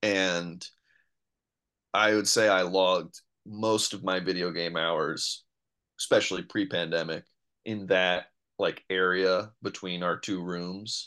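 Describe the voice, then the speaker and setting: A man with an American accent and a very deep, low pitch, bright and sharp in tone, flat and monotone, at a very slow pace with long, frequent pauses, over a quiet background. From New York City. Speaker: comedian and improviser. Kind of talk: casual chat.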